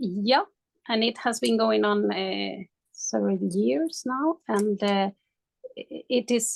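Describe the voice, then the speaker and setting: At a very slow pace, a woman talks in a Spanish accent, the sound dry and close with no echo. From Spain. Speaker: coaching client. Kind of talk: coaching session. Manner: halting.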